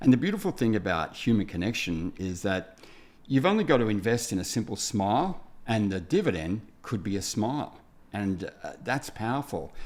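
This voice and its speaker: A man's fairly low voice with lively intonation, at a moderate pace. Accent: Australian. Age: 60s. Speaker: builder, TV presenter and speaker. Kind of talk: podcast interview. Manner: halting.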